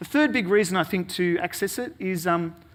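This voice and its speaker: A man speaks with very wide pitch swings. His tone is bright and sharp. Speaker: conference presenter. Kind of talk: conference talk. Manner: fast; hesitant, many fillers.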